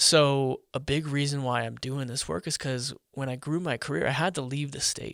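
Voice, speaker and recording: The recording is very clean, with a silent background. A man with an American accent talks at a moderate pace and a fairly high pitch, with ordinary pitch variation and hardly any pauses. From US Midwest, Omaha, Nebraska. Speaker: tech entrepreneur and data privacy advocate. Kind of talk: casual interview.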